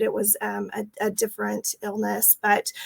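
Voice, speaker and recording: In a Texas accent, a woman speaks at a moderate pace with a fairly high voice. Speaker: franchise owner. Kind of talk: interview.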